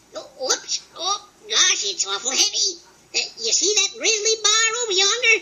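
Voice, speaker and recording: Extremely high pitch and a moderate pace in a cartoonish character voice. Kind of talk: cartoon voice comedy. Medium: audio drama. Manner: cocky, excitable, comic.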